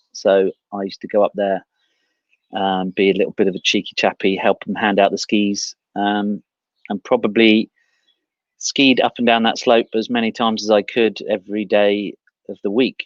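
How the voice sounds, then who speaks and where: A man with a southern English accent and a fairly low pitch speaks at a moderate pace in a monotone, flat delivery, leaving long, frequent pauses, the sound dry and close with no echo against a quiet background. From southern England, Aldershot/Guildford area. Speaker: ski coach and former racer. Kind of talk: interview. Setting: outdoors in his garden, video call.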